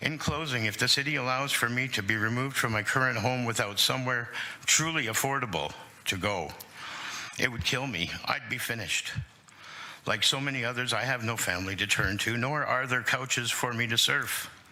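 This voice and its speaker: Amid noticeable background noise and audible room echo, a man with a Canadian accent speaks at medium pitch and a fairly quick pace with ordinary pitch variation. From Hamilton, Ontario, Canada. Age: 60s. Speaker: tenant advocate delegate. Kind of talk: public testimony to city council. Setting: city council committee meeting.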